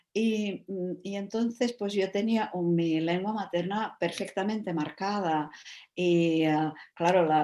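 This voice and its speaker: In a Czech accent, a woman speaks very slowly with a dark, mellow tone and fairly low pitch. Her pitch varies in an ordinary way against a quiet background. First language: Czech (speaking Spanish). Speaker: writer and translator. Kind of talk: panel discussion. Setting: video call. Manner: halting, many fillers.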